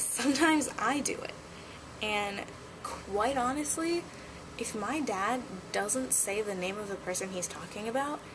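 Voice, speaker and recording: With noticeable background noise and audible room echo, a woman speaks at a fairly high pitch and a fairly slow pace, with lively intonation and long, frequent pauses. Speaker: vlogger. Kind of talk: casual vlog monologue.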